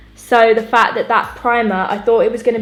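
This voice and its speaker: A woman speaks in an upbeat tone with music playing in the background. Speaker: beauty YouTuber. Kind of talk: casual makeup tutorial talk to camera. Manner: chatty, upbeat.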